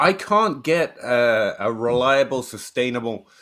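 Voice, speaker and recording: In an English accent, a man speaks at a fairly slow pace with a bright, sharp tone and very wide pitch swings. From England, Shropshire. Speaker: fantasy football writer and podcaster. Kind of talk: podcast interview.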